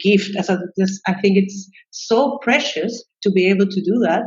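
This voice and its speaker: A woman with a Chilean Spanish accent speaks fairly slowly, her medium-pitched voice somewhat breathy and her intonation fairly even. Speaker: psychologist and expat coach. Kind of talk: interview conversation. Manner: halting, many fillers and repetitions.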